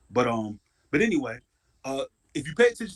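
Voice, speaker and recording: Loud and at a fairly quick pace, a man talks with very wide pitch swings in a dry, close sound with no echo. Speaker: DNA research presenter. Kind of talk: casual chat.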